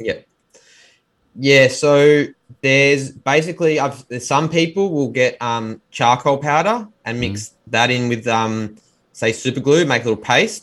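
Speaking at a fairly slow pace in a strong Australian accent, a man keeps a medium pitch with ordinary variation. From Australia, Melbourne. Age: 30s. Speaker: pipe maker and restorer. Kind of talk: interview.

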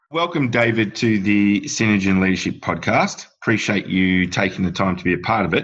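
A man with a plain, everyday voice talks at a fairly quick pace against a quiet background. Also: fairly low pitch for a man, ordinary pitch variation, hardly any pauses. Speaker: podcast host, company CEO. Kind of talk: interview, conversational.

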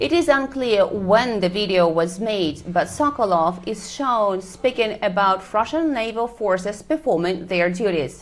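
Using an ordinary speaking voice, a woman talks at a fairly slow pace and medium pitch with lively intonation and hardly any pauses. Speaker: Moscow correspondent. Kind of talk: newsreading. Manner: formal, even, brisk.

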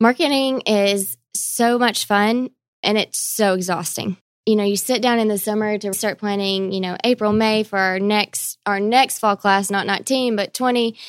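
A woman in a plain, everyday voice speaks at a fairly high pitch and moderate pace on a very clean recording with a silent background. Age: 20s. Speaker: university marketing director. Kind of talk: casual chat.

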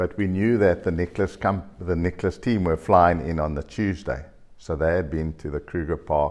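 Speaking with a very deep, low pitch and fairly even intonation, a man is heard against a quiet background. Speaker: golf course design company chairman. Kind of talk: interview storytelling.

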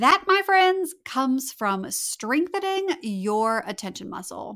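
A bright, sharp voice with a slight Southern US accent moves at a fairly slow pace through very wide pitch swings. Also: woman, very clean recording, silent background. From North Louisiana. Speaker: time management coach, podcast host. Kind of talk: solo podcast episode, conversational advice.

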